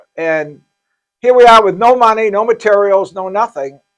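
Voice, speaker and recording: A man's high-pitched voice at a moderate pace, with music in the background. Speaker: pastor running a homeless shelter. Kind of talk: casual chat. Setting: live podcast. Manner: halting, stuttering.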